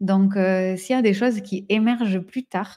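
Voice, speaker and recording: With a dark, mellow tone, the speaker moves fairly slowly and keeps the intonation fairly even. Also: woman. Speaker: entrepreneur and business coach. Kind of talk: live stream talk with audience comments. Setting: social media live stream. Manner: halting, many repetitions and fillers.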